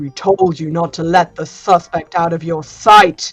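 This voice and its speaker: Over faint music in the background, a woman does a growling, put-on character voice at a fairly low pitch, with fairly even intonation and a moderate pace. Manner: reproachful.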